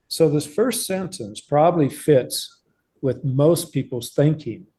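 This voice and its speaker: Somewhat breathy, dark and mellow in tone, the voice of a man. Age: 70s. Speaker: professor. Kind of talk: lecture. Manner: halting.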